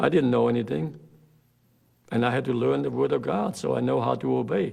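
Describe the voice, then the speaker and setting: The voice has vocal fry and very wide pitch swings at a fairly quick pace. Its loudness stays very even. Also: man, very deep, low pitch for a man. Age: 70s. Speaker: pastor. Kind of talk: interview.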